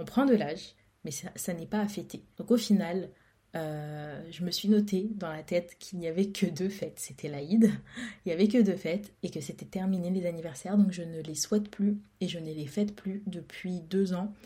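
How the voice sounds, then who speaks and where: Her voice dark, mellow and somewhat breathy, a woman speaks at medium pitch and a moderate pace with ordinary pitch variation and big swings in loudness. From France. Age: 20s. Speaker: podcaster. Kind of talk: casual solo monologue. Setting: recording alone at home. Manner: hesitant, repeats words.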